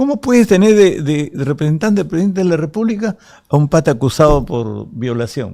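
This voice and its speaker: The recording is very clean, with a silent background. A man with a dark, mellow tone talks fairly quickly, his pitch swinging very widely. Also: fairly high pitch for a man. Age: 70s. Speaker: politician. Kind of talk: interview.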